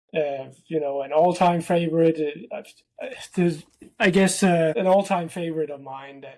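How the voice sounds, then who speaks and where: This man has a Danish accent and a fairly high pitch. His intonation is fairly even. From Denmark. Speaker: tech company founder. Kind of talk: casual interview. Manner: hesitant, many fillers.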